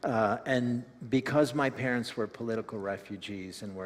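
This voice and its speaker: In an American accent, a man speaks at a moderate pace with fairly even intonation. The recording is very clean, with a silent background. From United States, Ukrainian immigrant family. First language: Ukrainian. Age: 60s. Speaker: community development worker. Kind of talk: testimony.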